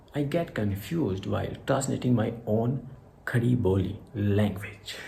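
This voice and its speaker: In a room with audible echo, a man speaks at fairly low pitch and a fairly slow pace, with ordinary pitch variation and very even loudness. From India, Haryana. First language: Hindi (Khari Boli dialect). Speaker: English teacher YouTuber. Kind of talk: tutorial vlog, mixed Hindi and English. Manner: halting, self-correcting.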